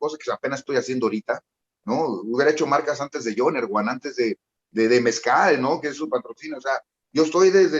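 The recording is dry and close, with no echo. A man talks at a fairly quick pace. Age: 40s. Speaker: rapper. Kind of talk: casual chat. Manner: talkative.

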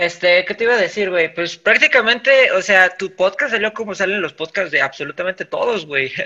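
In a Mexican accent, a man talks at a fairly quick pace with a raised, projected voice. His tone is bright and sharp, his pitch high, with ordinary pitch variation. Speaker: podcast host. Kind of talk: casual chat.

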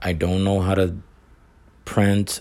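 At a fairly slow pace, a man talks with a fairly low pitch. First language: not English. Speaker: barber and online reseller podcaster. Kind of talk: solo podcast monologue. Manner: halting, many repetitions.

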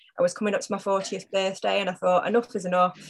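A medium-pitched woman with a Cheshire accent. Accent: northern English (Cheshire). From northern England, Macclesfield. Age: 40s. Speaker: hospital communications worker and fitness client. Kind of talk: casual interview.

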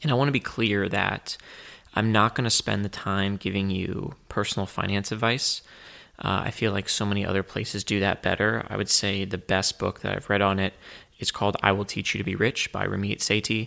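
A man with a fairly low voice and a bright, sharp tone talks at a fairly quick pace with fairly even intonation, captured in a very clean recording with a silent background. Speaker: podcast host. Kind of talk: solo podcast monologue. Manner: reserved, quiet.

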